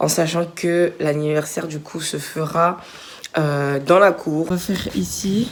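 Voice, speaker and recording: With noticeable background noise behind her, a woman speaks at a very slow pace with a fairly low pitch and fairly even intonation. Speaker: vlogger. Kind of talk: casual vlog.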